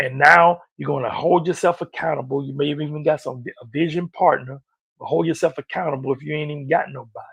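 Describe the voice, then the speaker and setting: A man's fairly high-pitched voice with vocal fry, at a fairly quick pace. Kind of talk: sales pitch; motivational talk. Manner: animated; stuttering today.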